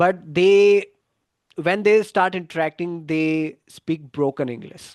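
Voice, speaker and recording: A man's high voice with a Gujarati accent, ordinary pitch variation and a very slow pace. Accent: Indian English (Gujarati). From India, Gujarat. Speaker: English exam coach. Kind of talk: live online class. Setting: YouTube livestream. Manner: halting, with fillers and restarts.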